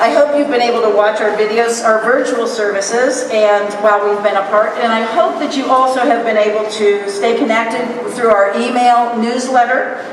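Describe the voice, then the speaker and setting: A woman at a fairly high pitch keeps her loudness very even and leaves hardly any pauses, with audible room echo and noticeable background noise. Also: fairly even intonation, moderate pace. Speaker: pastor. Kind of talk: sermon. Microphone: muffled by mask.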